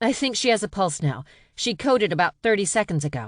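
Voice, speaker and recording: In a put-on character voice, a woman speaks at a very fast pace with very wide pitch swings. The background is quiet. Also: medium pitch for a woman. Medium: read story.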